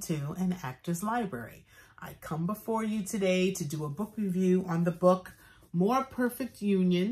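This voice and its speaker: A somewhat breathy woman with an American accent, medium pitch and a fairly slow pace. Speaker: actor, book reviewer. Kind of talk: book review vlog. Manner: casual, chatty with fillers.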